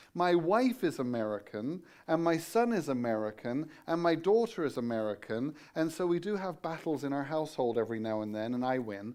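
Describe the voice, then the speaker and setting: Against a quiet background, a man with an English accent speaks fairly quickly at a fairly high pitch, his pitch swinging very widely. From England. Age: 50s. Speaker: guest preacher, Bible college teacher. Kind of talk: sermon. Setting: church.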